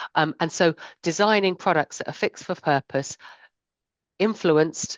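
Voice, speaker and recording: Ordinary pitch variation comes through as the talking runs at a fairly quick pace. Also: woman. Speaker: insurance sustainability strategist. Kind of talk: panel discussion. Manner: fast.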